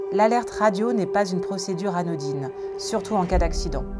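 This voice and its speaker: Over music in the background, a woman talks fairly quickly at a medium pitch with ordinary pitch variation. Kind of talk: instructional voice-over narration.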